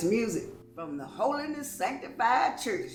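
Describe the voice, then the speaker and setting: There is noticeable background noise and audible room echo. A woman speaks with lively intonation. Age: 60s. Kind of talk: testimony. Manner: halting.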